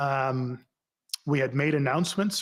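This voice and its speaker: A man with a Canadian accent talks at a moderate pace, his voice fairly high-pitched for a man and somewhat breathy. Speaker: former police chief testifying at inquiry. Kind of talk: sworn testimony. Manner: formal.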